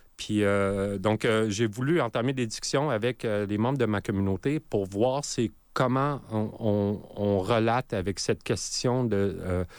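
Very slow in pace and very even in loudness, the speech comes through in a very clean recording with a silent background. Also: man, fairly low pitch for a man, ordinary pitch variation. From Nunavut, Canadian Arctic (Iqaluit). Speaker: multidisciplinary artist and electronic musician. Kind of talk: radio interview. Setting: radio studio. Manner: halting, repeats words.

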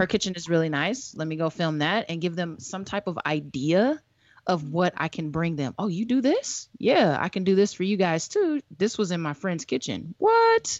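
A woman talks in a plain, everyday voice at a fairly low pitch and a moderate pace. Her intonation is lively, and she hardly pauses. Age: 30s. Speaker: podcast co-host and filmmaker. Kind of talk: casual chat.

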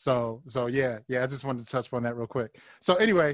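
A man talks at a fairly quick pace with a medium pitch. The sound is dry and close, with no echo. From Ohio. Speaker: podcast host. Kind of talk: interview. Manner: halting, repetitive.

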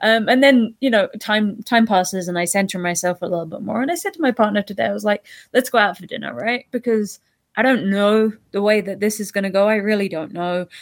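Fairly quick speech with a British accent in a very clean recording against a silent background. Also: woman, medium pitch for a woman, ordinary pitch variation. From UK. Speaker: scientist. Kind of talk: casual chat.

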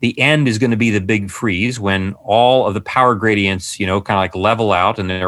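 This man has an unremarkable speaking voice, fairly low in pitch. He talks at a fairly quick pace with fairly even intonation. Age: 50s. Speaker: psychiatrist and author. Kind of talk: interview conversation.

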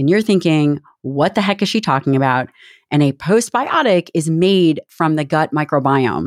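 A woman's very deep, low voice with lively intonation at a moderate pace, in a dry, close sound with no echo. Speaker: podcast host and doctor. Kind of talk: interview, casual chat with ad reads.

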